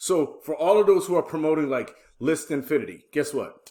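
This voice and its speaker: Recorded very cleanly against a silent background, a man talks at a moderate pace in a fairly high pitch. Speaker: affiliate marketing youtuber. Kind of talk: casual tutorial pitch. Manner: hesitant, filler words.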